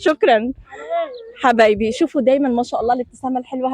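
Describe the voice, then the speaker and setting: An animated woman, high in pitch, with ordinary pitch variation. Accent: Jordanian. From Jordan. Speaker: TV presenter. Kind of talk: on-location TV report with street interviews.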